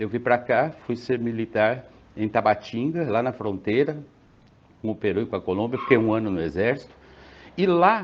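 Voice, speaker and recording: With lively intonation, the delivery keeps a moderate pace. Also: man. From Brazil, interior of São Paulo state (Presidente Prudente). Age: 60s. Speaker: pharmacist. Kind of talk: interview.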